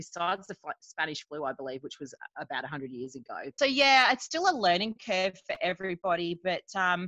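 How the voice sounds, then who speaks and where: At a fairly quick pace, a woman with an Australian accent speaks in a bright, sharp tone at medium pitch, using lively intonation in a dry, close sound with no echo. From Queensland, Australia. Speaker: nurse and parent. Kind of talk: casual chat.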